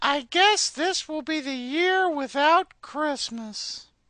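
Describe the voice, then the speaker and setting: In a squeaky, high-pitched put-on character voice, the speaker goes at a very slow pace. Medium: cartoon. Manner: sarcastic, crude.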